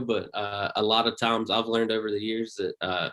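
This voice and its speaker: A man speaks with a Southern US accent. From US South, Pioneers, North Carolina. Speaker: comedian. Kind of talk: casual chat.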